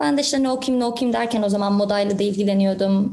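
A woman with a medium pitch speaks using fairly even intonation. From Canada (Toronto), from primary school. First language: English-dominant (Turkish heritage) (speaking Turkish). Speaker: real estate agent and entrepreneur. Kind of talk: podcast interview.

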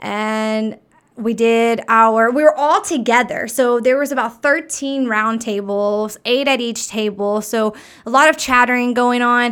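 Fairly slow and fairly even in intonation, a woman with a plain, everyday voice and an American accent speaks at a fairly high pitch on a very clean recording with a silent background. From Arkansas, US South. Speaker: podcast guest, speaker and workshop leader. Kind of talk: casual chat.

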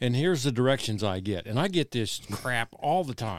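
A man speaks in an ordinary speaking voice at a medium pitch with lively intonation, on a very clean recording with a silent background. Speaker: hunting podcast co-host. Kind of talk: casual chat.

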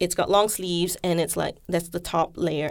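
With vocal fry and a fairly low pitch, a woman speaks at a moderate pace in monotone, flat intonation on a very clean recording with a silent background. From Malaysia. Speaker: scholar and editor. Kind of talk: casual interview.

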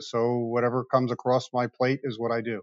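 A man speaks with an American accent in a plain, everyday voice. He holds a medium pitch at a moderate pace. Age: 50s. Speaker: car dealership owner. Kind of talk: interview.

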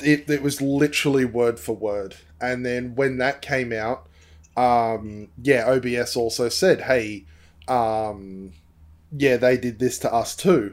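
Speaking at a very slow pace, a man with a medium-pitched voice and an Australian accent shows ordinary pitch variation. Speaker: streamer. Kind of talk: casual chat.

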